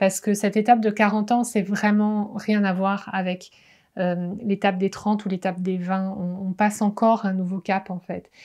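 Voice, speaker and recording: The background is quiet as a woman speaks at a fairly slow pace. Her intonation is flat and monotone. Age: 40s. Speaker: wellness coach. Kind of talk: vlog monologue. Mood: reflective, personal. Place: home room.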